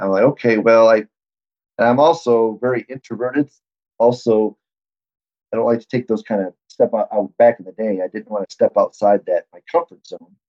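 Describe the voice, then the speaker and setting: With an American accent, a man talks at a moderate pace in a normal speaking voice, his medium pitch varying in an ordinary way while his loudness swings widely. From Michigan. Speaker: athletic trainer. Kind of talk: interview conversation.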